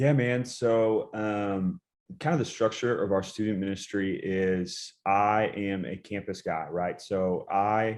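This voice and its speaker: An ordinary speaking voice with an American accent and fairly even intonation comes through over a quiet background. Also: man. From US South, Chattanooga, Tennessee. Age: 20s. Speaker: student pastor. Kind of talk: casual interview.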